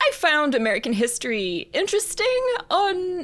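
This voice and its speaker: A woman with an Australian accent speaks at a moderate pace, her pitch swinging very widely. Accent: non-Philadelphia, Australian. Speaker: composer and professor. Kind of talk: interview.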